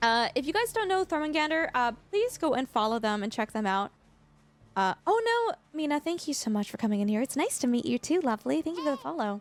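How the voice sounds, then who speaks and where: A high-pitched woman at a fairly quick pace, with very wide pitch swings, a dry, close sound with no echo, and music in the background. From Canada. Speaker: gaming streamer. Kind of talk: live-stream chat with viewers. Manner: casual, filler-heavy.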